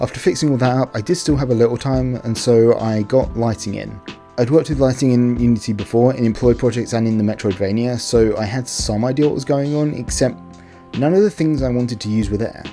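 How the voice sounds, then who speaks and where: A man talks at a very fast pace with a medium pitch and ordinary pitch variation. Music can be heard behind him. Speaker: indie game developer. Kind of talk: casual devlog narration.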